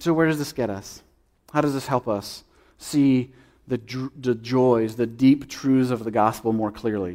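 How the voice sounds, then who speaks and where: On a very clean recording with a silent background, a man with a dark, mellow tone and medium pitch talks at a fairly slow pace with ordinary pitch variation. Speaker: preacher. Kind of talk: sermon. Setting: church.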